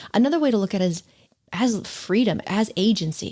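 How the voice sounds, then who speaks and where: A woman speaks at a medium pitch with lively intonation. The recording is very clean, its background silent. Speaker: podcast host. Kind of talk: casual chat. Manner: fast.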